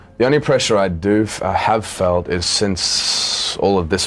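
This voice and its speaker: A man's voice with music in the background. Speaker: actor. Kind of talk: interview answer.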